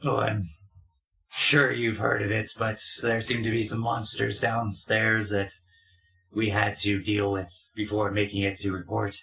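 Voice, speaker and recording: A man uses a put-on character voice, raspy and fairly low-pitched, at a moderate pace with very even loudness. His intonation stays fairly even, and he pauses long and often. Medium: actual play. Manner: evasive, calmly deceptive.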